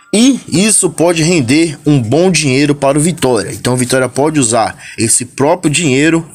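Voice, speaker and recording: Noticeable background noise sits behind a man speaking at a moderate pace and a fairly high pitch. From Brazil, São Paulo. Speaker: football fan youtuber. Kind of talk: casual vlog commentary.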